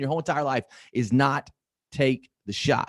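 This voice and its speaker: An animated tone comes through with a slight Southern US accent. The recording is very clean, with a silent background. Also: man. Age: 50s. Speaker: motivational speaker. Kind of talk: motivational talk. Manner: fast.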